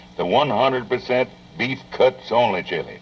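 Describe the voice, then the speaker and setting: Through noticeable background noise, a man speaks at a moderate pace in a medium pitch. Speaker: pioneer broadcaster and commercial pitchman. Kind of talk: vintage TV commercial read. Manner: folksy, friendly, homespun.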